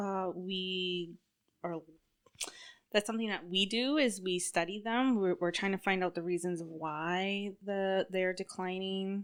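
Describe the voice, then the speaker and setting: A woman with an ordinary speaking voice talks at a fairly slow pace, using medium pitch and ordinary pitch variation. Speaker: government caribou protection worker. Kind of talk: casual chat.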